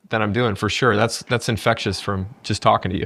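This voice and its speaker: Speaking at a very fast pace with fairly even intonation, a man comes through on a very clean recording with a silent background. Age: 40s. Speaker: podcast host. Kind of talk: interview conversation.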